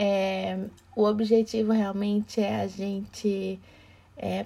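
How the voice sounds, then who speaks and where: Her voice comes across somewhat breathy; the speaker is a woman. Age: 40s. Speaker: diversity and emotional intelligence speaker. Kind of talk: casual chat.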